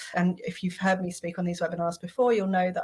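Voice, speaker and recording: A woman talks at medium pitch in a somewhat breathy voice with monotone, flat intonation. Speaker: marketing strategist. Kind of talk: webinar interview.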